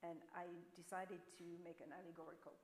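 At a moderate pace and a fairly low pitch, a woman speaks with a French accent over light background noise. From France. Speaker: painter; panelist. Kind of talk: panel discussion. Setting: stage with audience. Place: hall.

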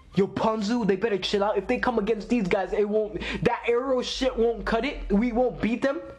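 A man talks at a moderate pace with a high pitch. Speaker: anime reactor. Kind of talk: casual reaction commentary. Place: home room. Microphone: phone near.

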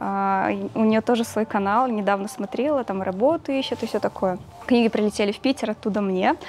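A woman's slightly mellow voice at a fairly quick pace, with ordinary pitch variation. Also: medium pitch for a woman.

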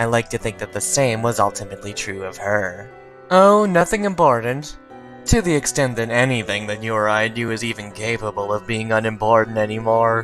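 A man uses a put-on character voice at a medium pitch and a fairly quick pace. Clear music plays in the background. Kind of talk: comic dub reading. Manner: deadpan.

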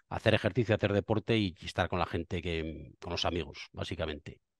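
Fairly quick speech from a man, fairly even in intonation, dry with no echo against a quiet background. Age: 50s. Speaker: politician; politician guest. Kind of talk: interview. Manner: halting. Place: office. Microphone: headset.

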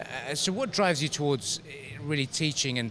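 An ordinary speaking voice at a moderate pace, with ordinary pitch variation and light background noise. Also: man. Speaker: sports show presenter. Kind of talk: interview question. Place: gym. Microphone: handheld.

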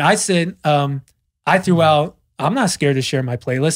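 A man with an unremarkable speaking voice, fairly high pitch and ordinary pitch variation over a quiet background. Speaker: DJ and podcast host. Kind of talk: casual chat. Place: studio. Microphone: studio mic.

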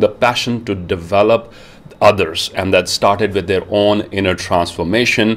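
An ordinary speaking voice from a man, fairly low in pitch, with fairly even intonation. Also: moderate pace. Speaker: show host. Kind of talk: interview introduction. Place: home room. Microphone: earbuds.

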